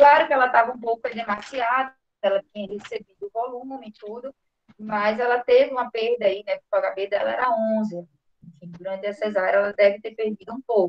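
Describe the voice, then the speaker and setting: In a normal speaking voice with a fairly high pitch, a woman talks at a fairly quick pace with fairly even intonation. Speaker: physician presenting a case. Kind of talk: clinical case presentation.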